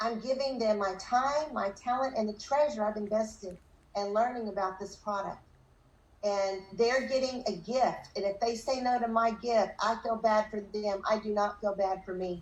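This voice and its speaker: Speaking at a moderate pace, a woman uses an unremarkable speaking voice, fairly high in pitch with ordinary pitch variation. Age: 60s. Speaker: direct sales leader. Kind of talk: motivational talk.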